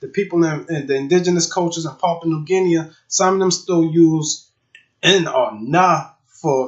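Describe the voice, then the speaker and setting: In a South Carolina Lowcountry accent, a man with a high pitch talks at a moderate pace with ordinary pitch variation. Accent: Gullah Geechee, South Carolina Lowcountry. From Charleston, South Carolina. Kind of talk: casual talk to camera. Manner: casual, slangy.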